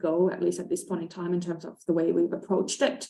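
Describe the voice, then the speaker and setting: With a Finnish accent, a woman speaks at a fairly quick pace. Her pitch is fairly low. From Finland. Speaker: conservation expert. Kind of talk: panel discussion. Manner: hesitant, many fillers.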